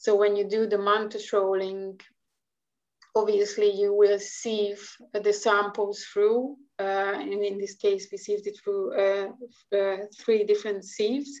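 A woman with a Hungarian accent speaks at a fairly slow pace. Her medium-pitched voice stays monotone and flat. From Hungary. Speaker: marine scientist. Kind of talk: interview. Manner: halting.

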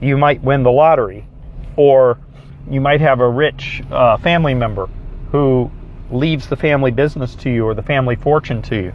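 Speaking at a fairly quick pace, a man uses a medium pitch. His pitch varies in an ordinary way. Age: 50s. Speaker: success coach. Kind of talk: motivational talk. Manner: animated.

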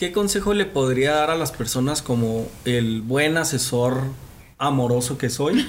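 A man at a fairly slow pace, with very even loudness, ordinary pitch variation and audible room echo. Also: fairly high pitch for a man. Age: young. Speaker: youth podcast host. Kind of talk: casual chat.

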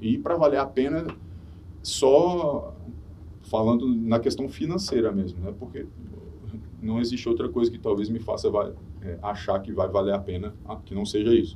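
Over audible room echo, a man speaks at a moderate pace in a dark, mellow, somewhat breathy voice at medium pitch, with lively intonation. His loudness swings widely, and he leaves long, frequent pauses. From Minas Gerais, Brazil (Belo Horizonte). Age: 40s. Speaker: former reality show contestant, model and DJ. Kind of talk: casual chat.

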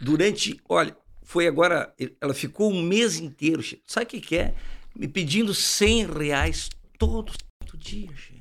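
At a fairly slow pace, a man with a high pitch and lively intonation speaks, taking long, frequent pauses. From Uruguaiana, Rio Grande do Sul, Brazil. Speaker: podcast host. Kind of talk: casual interview chat. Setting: studio. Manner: animated.

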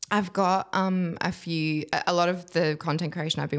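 Recorded very cleanly with a silent background, a woman speaks with an Australian accent and ordinary pitch variation. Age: 20s. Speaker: curve model. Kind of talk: casual chat.

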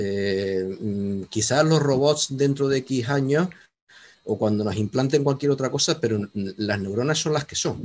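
Using a plain, everyday voice, a man speaks at a medium pitch. His intonation is lively and his pace fairly slow. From Canary Islands. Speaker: audience member, law professor. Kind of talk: audience question. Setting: video call.

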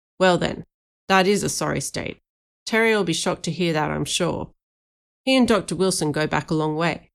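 A woman's put-on character voice, gruff and fairly low in pitch, at a moderate pace with long, frequent pauses. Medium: read story. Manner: terse, blunt.

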